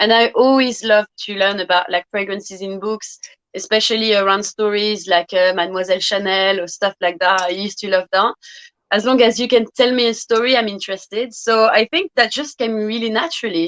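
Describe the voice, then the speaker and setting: With a French accent, a woman speaks at a fairly quick pace and fairly high pitch, showing ordinary pitch variation in a dry, close sound with no echo. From France, Brittany. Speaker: fragrance youtuber. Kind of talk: interview.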